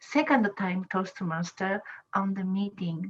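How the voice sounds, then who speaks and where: Her voice is somewhat breathy, with a medium pitch. The woman's intonation stays fairly even. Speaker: public speaking club member. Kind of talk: self-introduction in online meeting. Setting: video call. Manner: halting.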